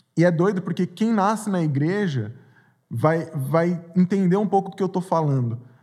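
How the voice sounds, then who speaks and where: A man talks at a high pitch. His tone is dark and mellow. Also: ordinary pitch variation, moderate pace. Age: 30s. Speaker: youth pastor. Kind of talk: testimony. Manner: halting.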